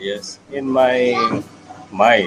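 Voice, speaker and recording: A man at medium pitch talks as music plays in the background. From India. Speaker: English learner. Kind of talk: casual chat. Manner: halting.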